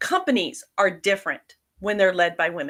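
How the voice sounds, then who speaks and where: A bright, sharp voice with very wide pitch swings at a moderate pace, in a very clean recording over a silent background. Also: woman. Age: 60s. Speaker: leadership coach. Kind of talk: live stream discussion.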